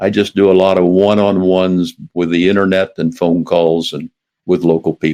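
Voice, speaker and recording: With an American accent and a dark, mellow tone, a man speaks at a moderate pace in a very deep, low pitch and a monotone, flat intonation, recorded with a dry, close sound with no echo. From US Midwest, southwest Iowa. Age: 80s+. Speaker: retired airline executive. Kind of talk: interview.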